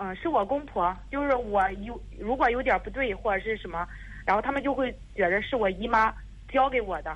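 Against noticeable background noise, a woman talks at a fairly quick pace with a fairly high pitch and ordinary pitch variation. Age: 30s. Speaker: caller seeking advice. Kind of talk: phone-in advice call. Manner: halting, many fillers.

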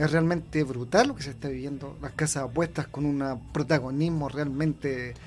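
A man in a Chilean accent, fairly high in pitch, at a moderate pace with hardly any pauses, fairly even intonation and big swings in loudness. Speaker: sports writer and author. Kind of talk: radio interview. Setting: radio studio.

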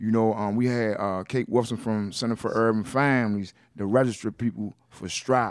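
A man speaks at a moderate pace and medium pitch, with ordinary pitch variation. The recording is very clean, with a silent background. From West Baltimore, Maryland, US. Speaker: nonprofit reentry advocate, ex-offender. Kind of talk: interview.

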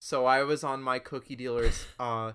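In a very clean recording with a silent background, a man at medium pitch speaks in a bright, sharp tone with monotone, flat intonation. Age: 20s. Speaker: podcast co-host. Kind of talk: casual chat.

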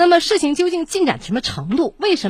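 Over a quiet background, a woman speaks at a fairly quick pace with very wide pitch swings and vocal fry. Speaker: radio host. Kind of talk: call-in show. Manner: direct.

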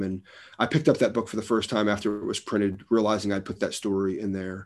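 A man talks very fast with an American accent, his pitch fairly low and his intonation fairly even. The recording is very clean, with a silent background. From New Jersey. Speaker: pastor and author. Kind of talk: interview conversation.

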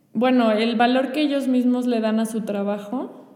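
A woman speaks at a moderate pace in a fairly high, monotone voice with flat intonation, and the room echo is audible. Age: 20s. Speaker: teacher and florist. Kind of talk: testimony in casual conversation.

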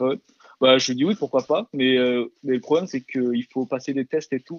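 This man speaks at a moderate pace in a fairly high pitch. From France and South Korea. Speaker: webtoon translator. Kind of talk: casual interview. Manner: hesitant, many fillers and repetitions.

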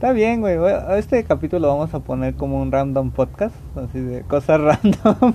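The speech moves at a moderate pace. Noticeable background noise runs underneath it. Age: 20s. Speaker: podcast co-host. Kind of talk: casual chat.

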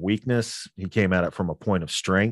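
A man with a normal speaking voice talks at a fairly low pitch with ordinary pitch variation, the sound dry and close with no echo against a quiet background. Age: 40s. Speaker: fiction podcast host and producer. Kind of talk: casual interview chat.

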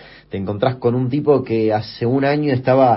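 A man talks at a fairly quick pace in a medium-pitched, somewhat breathy voice. His pitch varies in an ordinary way. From Argentina, Chaco. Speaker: youtuber and podcast host. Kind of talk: interview. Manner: hesitant, with fillers.

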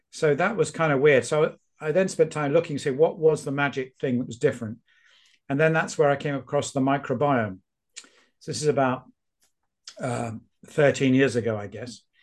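A man with a British accent and a fairly high voice talks at a moderate pace with ordinary pitch variation, leaving long, frequent pauses. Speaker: epidemiologist and author. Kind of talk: casual interview.

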